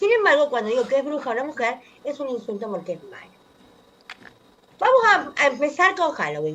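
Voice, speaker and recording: Her voice swinging very widely in pitch, a woman speaks. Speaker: anthropologist columnist on radio. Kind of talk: radio column talk.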